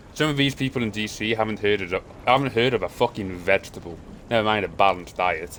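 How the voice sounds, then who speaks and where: Animated in tone, a man talks at a very fast pace with lively intonation. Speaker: game streamer and caster. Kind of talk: live stream commentary. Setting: live stream. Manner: casual, animated.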